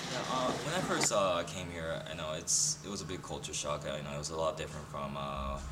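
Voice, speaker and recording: A man talks at a fairly quick pace with hardly any pauses. Noticeable background noise and audible room echo surround his voice. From Japan. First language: Japanese. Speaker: international student. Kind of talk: interview. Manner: halting, many fillers.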